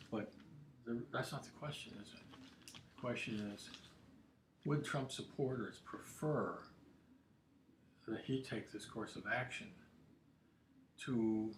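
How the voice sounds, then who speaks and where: At a very slow pace with long, frequent pauses, the speech shows big swings in loudness and ordinary pitch variation, with audible room echo. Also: man, medium pitch for a man. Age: 70s. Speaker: political commentator livestreamer. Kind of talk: casual livestream monologue. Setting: home studio livestream. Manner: halting, many repetitions.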